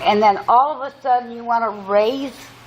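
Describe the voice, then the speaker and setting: Noticeable background noise behind a woman's fairly high-pitched voice. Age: 60s. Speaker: resident speaking at public hearing. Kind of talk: public hearing comment. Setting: public hearing room.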